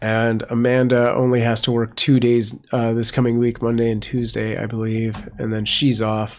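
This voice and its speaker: A man speaks at a moderate pace with a medium pitch. His intonation is flat and monotone. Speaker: live streamer and cat foster. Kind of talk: live stream chat. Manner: casual, halting with fillers.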